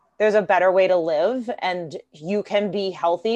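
Against a quiet background, a woman with an ordinary speaking voice talks at a fairly slow pace, with medium pitch and ordinary pitch variation. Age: 40s. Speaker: fitness coach and special education teacher. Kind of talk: casual interview.

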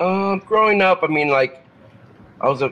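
Moderate pacing from a man. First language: Spanish. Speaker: metal guitarist. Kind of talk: casual interview chat. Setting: remote call from his car.

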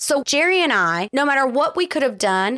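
At a fairly quick pace, a woman speaks at a high pitch with very wide pitch swings in a very clean recording with a silent background. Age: 40s. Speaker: podcast co-host. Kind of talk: casual chat.

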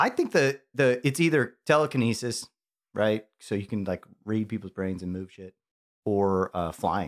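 In a very clean recording with a silent background, a man with an American accent and a normal speaking voice talks at a moderate pace with a fairly low pitch and lively intonation. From Chicago. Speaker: watch collector. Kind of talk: casual chat.

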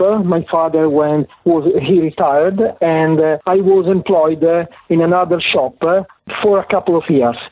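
Here a man talks at a moderate pace. His pitch is high, with ordinary variation. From Italy (Parma). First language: Italian. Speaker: automotive book publisher and author. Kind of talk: interview. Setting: phone call. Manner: halting.

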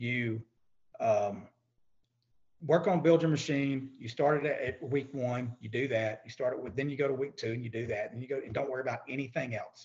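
Speaking with a Texan accent, a man with a somewhat breathy, medium-pitched voice shows ordinary pitch variation and big swings in loudness. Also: moderate pace. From East Texas. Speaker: credit repair business owner. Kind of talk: podcast interview.

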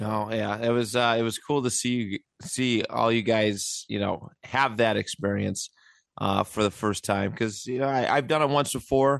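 A man speaks at a moderate pace with a Buffalo accent. His pitch sits in the middle range, and his intonation stays fairly even. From Buffalo, western New York. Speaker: podcast host, sports fan. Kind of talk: casual chat.

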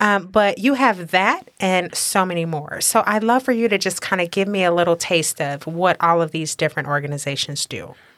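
Very clean with a silent background, this recording has a woman speaking in a normal speaking voice with an American accent, at medium pitch and a moderate pace, with ordinary pitch variation and hardly any pauses. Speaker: podcast host. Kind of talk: scripted intro and interview.

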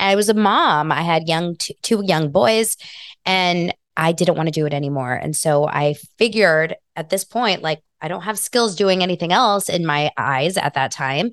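A woman with a plain, everyday voice and a fairly low pitch speaks at a moderate pace with ordinary pitch variation, recorded with a dry, close sound with no echo over a quiet background. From Los Angeles, US. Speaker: video coach and brand strategist. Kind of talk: interview conversation.

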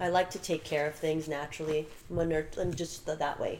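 Music is playing behind the voice. The woman's delivery is fairly quick. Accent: American. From Burbank, California, with summers in Croatia and Serbia. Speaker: fashion model and agency manager. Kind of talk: casual interview chat.

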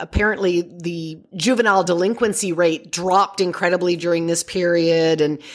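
Speaking with a Canadian accent, a woman uses an ordinary speaking voice at a medium pitch. Her pace is moderate. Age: 50s. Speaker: parenting expert. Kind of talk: interview.

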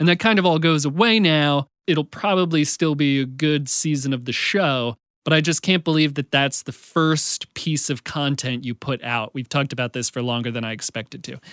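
A man with an ordinary speaking voice talks at a moderate pace and a fairly high pitch, with ordinary pitch variation. He hardly pauses, and the recording is very clean with a silent background. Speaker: podcast host. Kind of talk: casual chat. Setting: studio.

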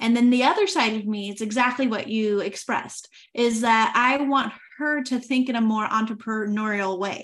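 A woman with an American accent, a normal speaking voice, fairly high pitch, fairly even intonation and a moderate pace. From United States. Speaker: podcast host. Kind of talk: casual interview.

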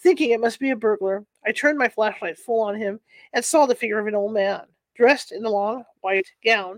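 The background is quiet as someone plainly reads aloud.

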